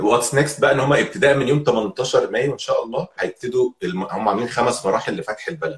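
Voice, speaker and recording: Speaking rather briskly, a man barely stops between phrases. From Egypt, Alexandria. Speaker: podcaster and corporate employee. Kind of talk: casual chat.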